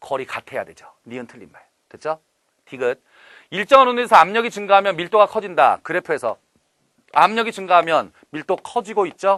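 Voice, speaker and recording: Bright and sharp in tone, the voice moves at a fairly quick pace with lively intonation and a dry, close sound with no echo. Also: man, quiet background. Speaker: chemistry instructor. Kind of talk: lecture. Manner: animated.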